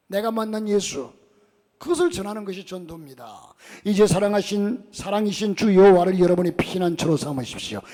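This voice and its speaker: The voice moves at a fairly quick pace, with big swings in loudness. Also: man, high pitch for a man, ordinary pitch variation. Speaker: pastor. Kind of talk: sermon. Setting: church.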